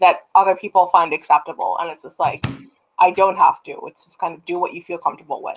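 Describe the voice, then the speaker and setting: A woman speaks at a very fast pace with a Canadian accent. Her loudness swings widely. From Canada. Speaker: writer; guest. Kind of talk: casual chat. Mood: reflective, personal. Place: home room. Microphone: video call.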